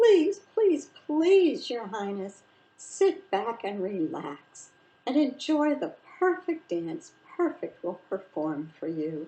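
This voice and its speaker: Using a put-on character voice, a female-sounding speaker goes very slowly at a high pitch with very wide pitch swings. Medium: read story. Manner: fawning, formal.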